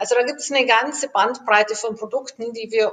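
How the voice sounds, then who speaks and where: In an ordinary speaking voice, a woman talks moderately fast with normal pitch movement. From Germany. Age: 50s. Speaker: aerospace engineer. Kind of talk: interview.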